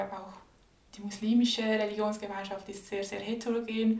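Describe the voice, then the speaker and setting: Audible room echo surrounds a woman speaking in a monotone, flat intonation. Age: 20s. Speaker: graduate student and anti-racism speaker. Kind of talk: interview conversation.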